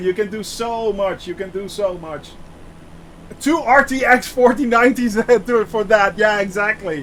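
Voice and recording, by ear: At a fairly slow pace, a man speaks with a fairly bright tone, a high pitch and ordinary pitch variation.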